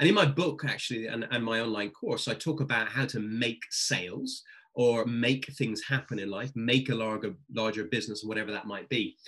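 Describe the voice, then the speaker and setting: In a British accent, a man speaks at a moderate pace and medium pitch with ordinary pitch variation. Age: 40s. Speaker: sales coach and speaker. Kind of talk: interview.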